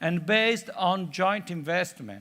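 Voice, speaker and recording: Bright, sharp-toned man's voice, raised and projected. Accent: Italian. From Italy, Florence. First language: Italian. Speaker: conference speaker, UN development worker. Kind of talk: conference talk. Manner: halting with many fillers.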